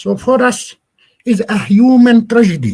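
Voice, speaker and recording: Somewhat breathy, the man's voice moves in very wide pitch swings. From Palestine. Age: 60s. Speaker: Palestinian agricultural NGO representative. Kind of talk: guest talk in online class. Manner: halting, frequent repetitions.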